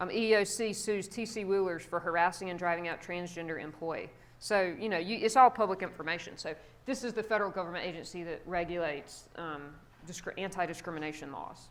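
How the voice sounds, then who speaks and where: A woman's medium-pitched voice at a very fast pace, with ordinary pitch variation and audible room echo. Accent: American. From South Carolina, US South. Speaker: psychology professor. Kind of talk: guest lecture. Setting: classroom with students. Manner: casual, conversational.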